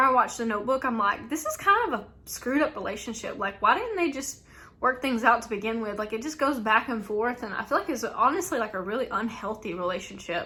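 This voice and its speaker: A woman's high-pitched, very fast voice in a strong Southern US accent, with lively intonation and hardly any pauses. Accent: thick Southern US. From US South. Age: 20s. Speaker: YouTuber, reseller. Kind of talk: casual Q&A tag video. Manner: chatty, frequent fillers.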